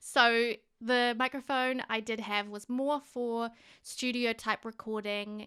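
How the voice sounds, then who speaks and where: A woman in a New Zealand accent, fairly high-pitched with a bright, sharp tone, monotone and flat, fairly slow, on a very clean recording with a silent background. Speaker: gaming youtuber. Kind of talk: voiceover narration. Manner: casual, hesitant. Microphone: new directional microphone.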